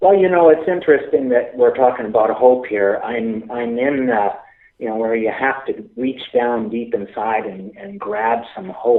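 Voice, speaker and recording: In a Canadian accent, a man at medium pitch speaks fairly slowly with lively intonation and big swings in loudness. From Canada, Alberta. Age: 60s. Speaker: youth worker and speaker. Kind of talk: interview. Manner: halting, many fillers and restarts.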